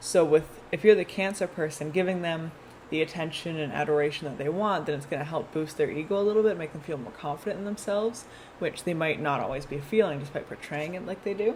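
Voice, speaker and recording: Speaking at a very fast pace, a woman talks in a fairly low voice. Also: ordinary pitch variation, big swings in loudness. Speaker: tarot reader. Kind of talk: tarot reading. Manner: casual.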